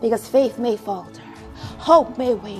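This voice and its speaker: A woman speaks with a fairly high pitch and ordinary pitch variation. Music plays in the background. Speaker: spoken word poet. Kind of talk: spoken word poetry performance.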